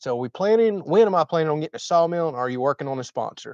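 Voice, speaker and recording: With an American accent, a man talks at a fairly high pitch with ordinary pitch variation. The sound is dry and close with no echo over a quiet background. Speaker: homesteading YouTuber. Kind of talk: livestream chat reading comments. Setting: livestream. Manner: talkative.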